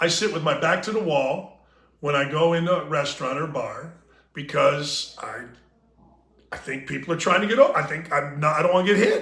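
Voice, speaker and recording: A man with a high pitch talks at a fairly quick pace in a bright, sharp tone, with audible room echo. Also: ordinary pitch variation. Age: 60s. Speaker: sports talk podcast host. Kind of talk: casual chat.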